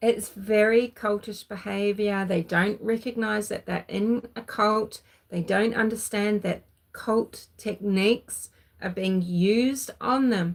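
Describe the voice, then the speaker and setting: A woman with a New Zealand accent speaks at a very slow pace. Her pitch is fairly high, and her intonation is fairly even. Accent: Kiwi. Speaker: true crime commentator. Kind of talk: livestream commentary. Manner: halting.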